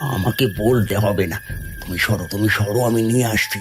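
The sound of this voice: A cartoonish character voice from a man, fairly low-pitched, at a moderate pace with clear background noise.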